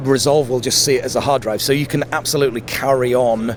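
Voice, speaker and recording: Noticeable background noise sits behind this recording. A man with a medium pitch talks at a very fast pace. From Yorkshire and South Africa, then Sheffield. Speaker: tech company representative. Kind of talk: trade show interview.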